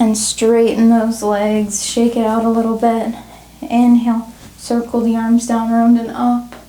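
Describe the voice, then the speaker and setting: Speaking at a fairly slow pace, a woman with a fairly high pitch is heard over noticeable background noise. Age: 20s. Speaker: yoga teacher. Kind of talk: guided yoga class instruction.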